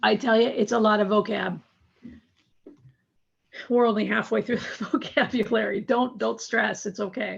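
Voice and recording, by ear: A raspy, put-on character voice moves at a moderate pace with fairly even intonation and long, frequent pauses. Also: woman, medium pitch for a woman.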